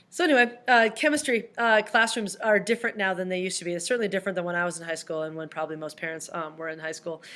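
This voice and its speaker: In a very clean recording with a silent background, a woman speaks very fast in a bright, sharp tone with lively intonation. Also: medium pitch for a woman. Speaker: high school chemistry teacher. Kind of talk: recorded video presentation to parents.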